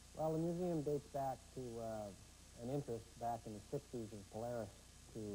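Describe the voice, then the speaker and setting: At a moderate pace, a man talks with a dark, mellow tone over light background noise. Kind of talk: interview answer. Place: hall. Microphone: lapel.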